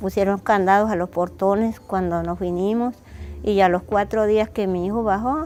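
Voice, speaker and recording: A dark, mellow tone in a monotone, flat intonation. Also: woman. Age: 60s. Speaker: displaced widow. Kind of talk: testimony. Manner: halting.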